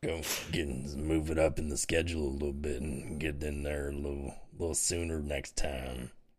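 A raspy, put-on character voice from a man, very deep and low, monotone and flat, at a moderate pace with audible echo. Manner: unsettling.

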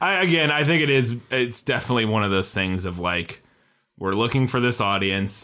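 A man with a bright, sharp tone at a fairly quick pace, in a very clean recording with a silent background. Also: medium pitch for a man, lively intonation. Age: 30s. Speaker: podcast co-host, film graduate. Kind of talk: casual chat. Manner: halting.

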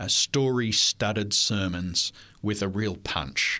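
Bright and sharp in tone, this voice with an Australian accent moves at a very slow pace. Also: man. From Australia (New South Wales). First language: French. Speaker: history professor. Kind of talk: interview. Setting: studio.

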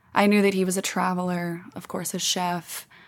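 In a very clean recording with a silent background, a woman speaks at medium pitch. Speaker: podcast host. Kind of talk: casual monologue, solo podcast. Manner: passionate, animated, profane.

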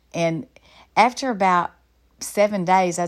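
Recorded very cleanly with a silent background, a woman speaks with a Southern US accent. Her medium pitch varies in an ordinary way, and her pace is moderate. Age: 50s. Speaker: Bible study teacher and counselor. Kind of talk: conference talk. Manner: halting.

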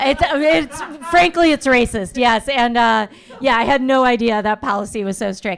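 There is noticeable background noise behind this woman's high voice. She has an American accent and lively intonation. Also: moderate pace. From US Midwest, Chicago suburbs. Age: 50s. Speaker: stand-up comedian. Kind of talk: stand-up. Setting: stage with live audience.

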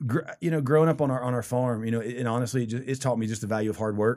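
With a Southern US accent, a man speaks at a medium pitch and fairly even intonation in a very clean recording over a silent background. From US South, rural South Carolina. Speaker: church pastor. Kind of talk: interview. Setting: studio.

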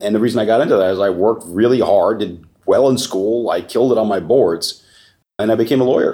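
Speaking very fast, a man with an American accent has a dark, mellow tone. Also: medium pitch for a man, ordinary pitch variation. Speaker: real estate research executive. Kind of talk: interview.

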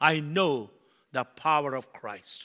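A man's bright, sharp, animated voice, fairly high in pitch, on a very clean recording with a silent background. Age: 70s. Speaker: preacher. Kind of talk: sermon. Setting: church.

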